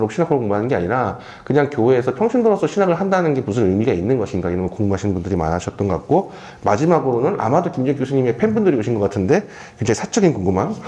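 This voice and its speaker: The speaker talks at a very fast pace with very wide pitch swings over noticeable background noise. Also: man. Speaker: moderator of a lecture Q&A. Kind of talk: moderated Q&A at a live talk.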